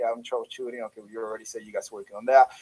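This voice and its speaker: Here is a man with a medium pitch. The sound is dry and close, with no echo. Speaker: business owner asking support questions. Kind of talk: tech support Q&A call. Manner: fast.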